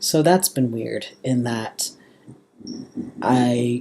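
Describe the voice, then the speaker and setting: This man has a Southern California accent. His tone is dark and mellow. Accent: valley girl speech with huskiness. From US suburbs. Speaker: vlogger. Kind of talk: personal vlog update. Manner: casual, many fillers.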